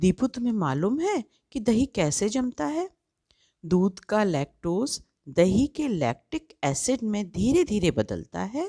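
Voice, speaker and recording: A woman speaks at a medium pitch in a dark, mellow tone, her pitch swinging very widely. The sound is dry and close with no echo, on a very clean recording with a silent background. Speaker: voice-over artist. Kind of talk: children's story narration.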